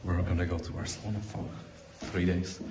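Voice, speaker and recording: Amid noticeable background noise and audible room echo, a man with a very deep, low voice speaks at a very fast pace in a monotone, flat intonation. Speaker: travel vlogger; exchange student. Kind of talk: vlog. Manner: casual; quiet.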